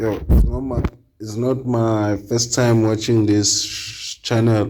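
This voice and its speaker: A man speaks at a very slow pace with a non-native accent. His medium-pitched voice stays monotone and flat. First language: not English. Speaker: reaction channel host. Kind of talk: casual chat. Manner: halting.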